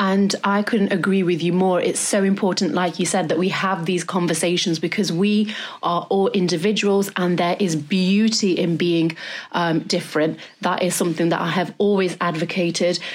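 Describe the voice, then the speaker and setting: Monotone, flat intonation at a moderate pace with very even loudness. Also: woman, fairly low pitch for a woman. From Derby, England. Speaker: plus-size model and podcast host. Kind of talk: casual chat.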